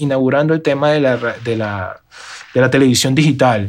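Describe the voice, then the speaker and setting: Moving at a moderate pace, a man talks in a plain, everyday voice. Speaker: live sound and RF engineer. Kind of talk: interview.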